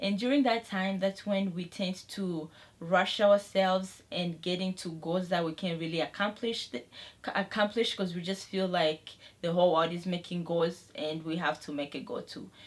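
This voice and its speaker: This woman has a medium pitch and ordinary pitch variation. She talks at a moderate pace in an ordinary speaking voice. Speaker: beauty and lifestyle vlogger. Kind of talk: casual vlog talk to camera.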